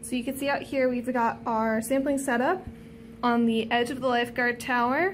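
A woman's voice with music in the background. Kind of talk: casual vlog chat.

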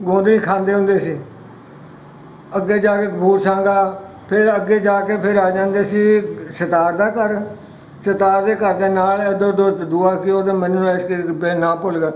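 A man speaks in a high pitch with monotone, flat intonation. Audible room echo and light background noise are present. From East Punjab, Ludhiana district; East Punjab. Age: 80s+. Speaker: partition witness. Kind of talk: oral history interview. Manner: halting. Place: home room. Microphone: phone near.

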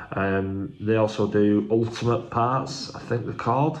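There is light background noise. Over it, a man speaks at a fairly slow pace with fairly even intonation. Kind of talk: casual unboxing vlog chat. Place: kitchen. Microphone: phone near.

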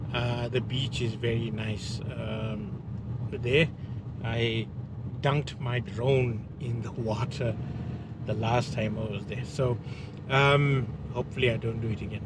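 Over loud background noise, a man speaks at a fairly slow pace with long, frequent pauses, in a dry sound with no echo. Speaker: travel vlogger. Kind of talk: casual vlog chat. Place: car. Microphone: phone near.

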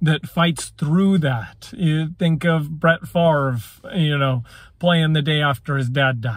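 At a very slow pace, a man speaks with ordinary pitch variation, the sound dry with no echo and the background quiet. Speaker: sports commentator vlogger. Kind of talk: casual commentary. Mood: opinionated, light laughs. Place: car. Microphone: phone near.

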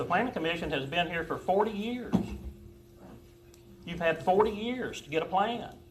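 With noticeable background noise and audible room echo, a man with a high pitch talks at a moderate pace, leaving long, frequent pauses, his loudness swinging widely while his pitch varies in an ordinary way. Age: 60s. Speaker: business owner addressing council. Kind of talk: heated debate. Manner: halting, repeats words.

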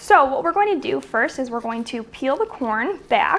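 A woman talks in a high voice. Her pitch swings very widely. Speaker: home cook host. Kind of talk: tutorial. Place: kitchen.

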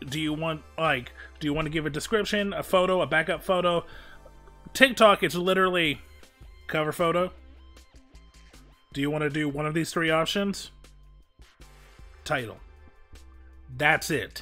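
Music plays in the background as a nasal-sounding man speaks with ordinary pitch variation and long, frequent pauses. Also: fairly high pitch for a man, moderate pace. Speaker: streamer, voice actor. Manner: casual, rambling.

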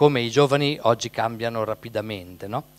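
With a normal speaking voice, a man talks at medium pitch with fairly even intonation, in dry sound with no echo. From Italy, Emilia (Carpi). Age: 60s. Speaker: priest. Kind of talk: event introduction and prayer. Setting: parish hall with live audience. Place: hall. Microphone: handheld.

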